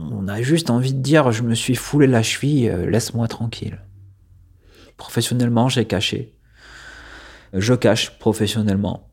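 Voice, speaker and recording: A man speaks at a moderate pace and a medium pitch, with ordinary pitch variation and long, frequent pauses, on a very clean recording with a silent background. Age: 30s. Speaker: former culture journalist, hemophilia patient. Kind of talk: personal testimony interview. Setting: at his home. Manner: hesitant, many fillers.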